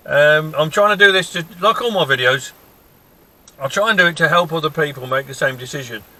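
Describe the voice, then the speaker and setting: A man's fairly quick speech shows ordinary pitch variation, with noticeable background noise behind it. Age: 60s. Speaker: car owner reviewer. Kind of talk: casual review talk. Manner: halting, with fillers.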